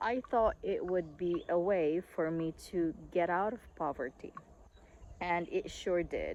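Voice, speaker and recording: A woman with a Visayan Filipino accent speaks at a very slow pace and a fairly low pitch. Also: ordinary pitch variation. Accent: Filipino (Cebuano) English. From Philippines, northern Cebu. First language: Cebuano. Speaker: online English teacher. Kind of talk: casual vlog talk. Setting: outdoors on a farm. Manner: hesitant, with frequent fillers.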